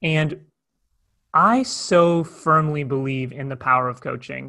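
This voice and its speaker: Pitched fairly high for a man, his voice is a normal speaking voice with ordinary pitch variation. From Toronto, Canada. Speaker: conflict coach and speaker. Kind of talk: casual interview conversation. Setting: phone or video call.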